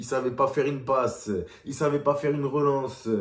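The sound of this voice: Speaking at a moderate pace, a man has a medium pitch, little pitch movement and a slightly mellow tone.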